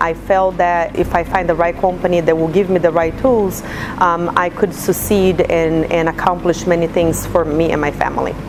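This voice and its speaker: Monotone, flat speech from a woman at a fairly low pitch, with noticeable background noise. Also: moderate pace, very even loudness. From Brazil. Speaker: insurance agent. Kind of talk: testimonial interview.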